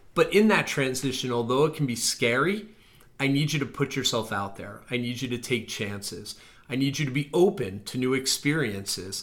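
Lively in intonation, a man with a plain, everyday voice speaks at medium pitch and a fairly quick pace. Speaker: admissions officer podcast host. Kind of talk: casual chat.

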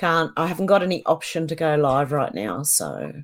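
Moderately paced speech from a woman, her pitch on the low side, with vocal fry. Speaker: online video creator. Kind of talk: casual chat. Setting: video call.

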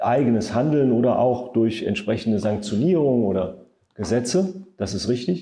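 Audible room echo surrounds a man who speaks fairly slowly at a medium pitch with a dark, mellow tone. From Saarland, Germany. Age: 50s. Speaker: state environment minister. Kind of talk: podcast interview.

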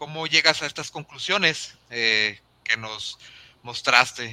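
A man with a Mexican accent, very slow pace and lively intonation. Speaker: podcast host. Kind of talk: interview.

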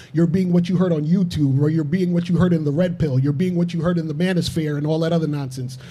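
The speech comes at a very fast pace with hardly any pauses. Intonation stays fairly even. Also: man, fairly high pitch for a man. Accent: New York. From Brooklyn, New York. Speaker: relationship coach. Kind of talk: panel discussion. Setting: studio.

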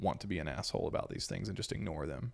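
A man's American accent with vocal fry, at a fairly quick pace. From US South, Tennessee. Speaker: podcast host and comedy creator. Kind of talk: casual chat. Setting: at home on the couch.

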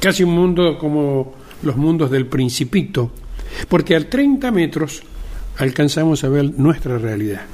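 Over noticeable background noise, a man speaks at a fairly slow pace with lively intonation and long, frequent pauses. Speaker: podcast host, media journalist. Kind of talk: opinion monologue. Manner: conversational, with fillers.

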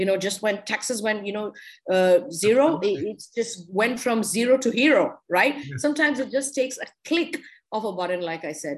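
A woman with an Indian accent talks at a fairly quick pace, her fairly high voice making very wide pitch swings. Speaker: wine expert and businesswoman. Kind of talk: interview.

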